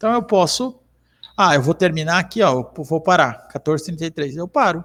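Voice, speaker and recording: Lively intonation carries speech delivered at a moderate pace. The sound is dry and close with no echo, and the recording is very clean against a silent background. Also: man. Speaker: software trainer. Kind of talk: tutorial. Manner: frequent filler 'tá?'.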